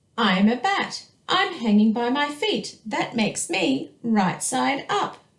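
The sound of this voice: Someone reading in an unforced reading voice.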